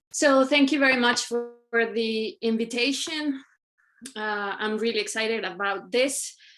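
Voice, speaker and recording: Music plays in the background as a woman talks at a fairly slow pace. Her pitch is high, with ordinary variation. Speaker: designer and researcher. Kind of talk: presentation. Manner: hesitant, with fillers.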